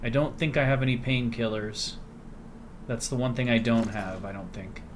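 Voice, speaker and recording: A man speaks quietly at a medium pitch with ordinary pitch variation. Audible room echo surrounds his voice. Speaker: gaming video creator. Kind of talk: let's play commentary. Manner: quiet, keeping voice down; casual, conversational.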